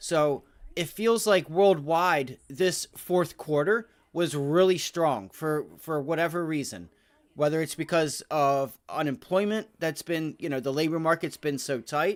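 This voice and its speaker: A man with a plain, everyday voice, fairly high in pitch, speaks fairly slowly with ordinary pitch variation on a very clean recording with a silent background. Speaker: stock market livestreamer. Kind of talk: live market commentary Q&A. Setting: livestream.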